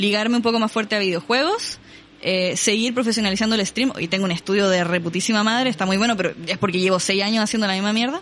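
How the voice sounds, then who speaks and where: Amid noticeable background noise, a woman with a Chilean accent speaks with fairly even intonation. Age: 20s. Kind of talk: casual chat.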